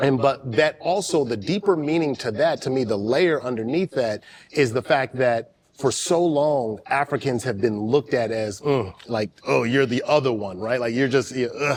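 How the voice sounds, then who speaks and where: A man with an American accent, medium pitch and ordinary pitch variation, at a moderate pace with hardly any pauses. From US West Coast. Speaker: podcast host. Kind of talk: podcast interview.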